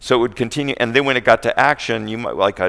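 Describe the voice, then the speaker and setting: A man speaks with a normal speaking voice at a medium pitch. His intonation is fairly even. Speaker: animation writer and producer. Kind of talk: panel talk. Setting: convention stage with audience.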